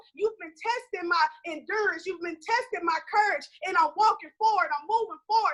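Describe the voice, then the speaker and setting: Raised and projected, a woman's bright, sharp voice rings out at an extremely high pitch with an animated tone, lively intonation, and a moderate pace. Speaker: conference panelist. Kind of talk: motivational talk. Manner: loud.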